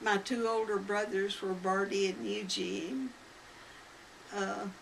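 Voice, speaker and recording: A woman speaks very slowly in an American accent, her pitch medium with ordinary variation. Noticeable background noise runs under her voice. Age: 90s. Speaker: elderly interviewee recounting family history. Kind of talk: oral history interview. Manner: halting.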